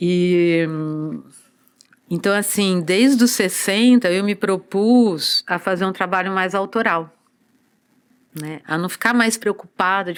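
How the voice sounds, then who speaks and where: Recorded very cleanly against a silent background, a woman talks at a fairly slow pace. She has an ordinary speaking voice with ordinary pitch variation. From Brazil, São Paulo coast (Santos region). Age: 60s. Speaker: dancer and body therapist. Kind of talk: podcast interview.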